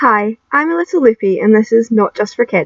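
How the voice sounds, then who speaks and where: Lively intonation from a woman with a strong Scottish accent and a fairly high pitch. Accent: broad Scottish. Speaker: YouTube film reviewer. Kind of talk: scripted video review. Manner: animated.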